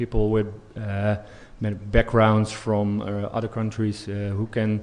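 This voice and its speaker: Against a quiet background, a man with a Dutch accent and medium pitch speaks at a fairly slow pace. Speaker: police expert. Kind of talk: conference Q&A. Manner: halting, many fillers.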